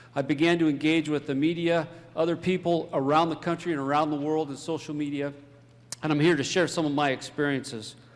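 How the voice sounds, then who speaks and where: Talking at a very fast pace, a man keeps a fairly high pitch and a monotone, flat intonation. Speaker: fire chief and emergency management official. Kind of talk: conference talk. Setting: stage with audience.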